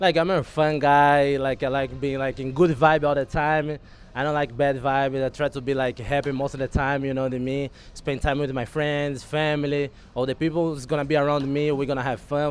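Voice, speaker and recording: A man's fairly high voice, flat and monotone, at a fairly quick pace. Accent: Brazilian. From Brazil. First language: Portuguese. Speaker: baseball relief pitcher. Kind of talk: casual interview.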